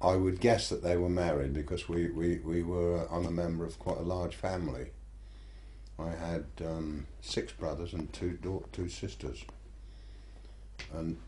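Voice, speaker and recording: With a rural Buckinghamshire accent, a man speaks in a very deep, low voice with a dark, mellow tone and vocal fry, using lively intonation at a fairly slow pace with long, frequent pauses and audible room echo. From Buckinghamshire, southern England. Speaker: local history interviewee. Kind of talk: oral history interview. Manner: hesitant, with repetitions.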